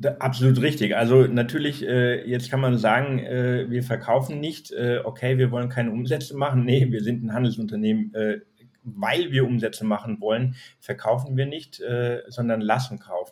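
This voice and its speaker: A man with a medium pitch and a somewhat breathy sound keeps his intonation fairly even as he talks at a moderate pace. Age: 40s. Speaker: HR manager in retail. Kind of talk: interview. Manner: frequent filler hesitations.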